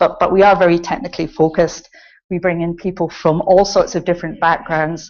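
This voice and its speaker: In a Scottish accent, a woman talks at a fairly quick pace. Her pitch is fairly low and her intonation fairly even. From Scotland. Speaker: computing centre director. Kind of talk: conference talk. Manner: frequent filler ums.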